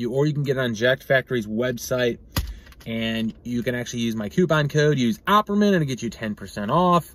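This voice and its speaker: A man at a fairly quick pace, with a dry sound and no echo. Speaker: product reviewer. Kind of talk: casual review vlog. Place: car. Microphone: phone near.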